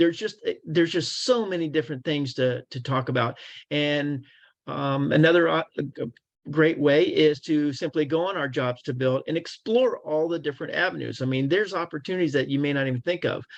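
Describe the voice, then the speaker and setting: Fairly high in pitch, a man speaks at a fairly quick pace with ordinary pitch variation against a quiet background. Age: 60s. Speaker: construction career recruiter. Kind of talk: webinar Q&A. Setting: online webinar. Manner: hesitant, many fillers.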